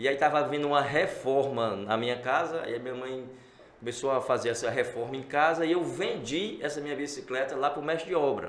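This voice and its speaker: Amid noticeable background noise and audible room echo, a man with a fairly high voice speaks at a fairly quick pace with ordinary pitch variation. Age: 60s. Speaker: entrepreneur. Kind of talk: interview. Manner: animated.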